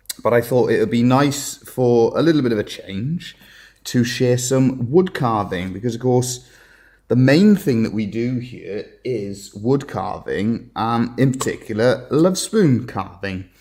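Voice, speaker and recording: Speaking in a Welsh accent, a man has a medium pitch and ordinary pitch variation. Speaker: woodcarver. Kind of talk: live demonstration. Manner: hesitant, many fillers.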